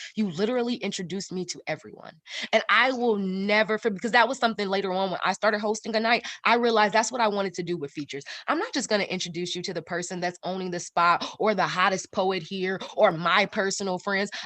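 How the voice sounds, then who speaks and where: Loud and very fast, a woman speaks at medium pitch in a bright, sharp tone, with ordinary pitch variation over a quiet background. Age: 30s. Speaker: poet. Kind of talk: interview. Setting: live stream.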